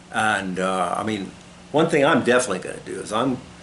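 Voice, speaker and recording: Audible room echo is present. A man speaks very fast. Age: 60s. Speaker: sport shooter and video blogger. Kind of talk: casual monologue to camera. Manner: halting.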